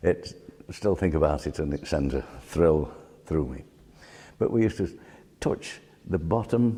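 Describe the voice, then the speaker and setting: A man with a very deep, low pitch and a dark, mellow tone speaks at a fairly slow pace, with vocal fry, lively intonation, and long, frequent pauses. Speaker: local resident recalling village life. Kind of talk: reminiscence.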